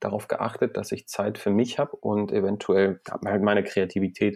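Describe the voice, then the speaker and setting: The sound is dry and close, with no echo at all. A man talks at a moderate pace. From Iran. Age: 30s. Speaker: entrepreneur. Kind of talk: interview.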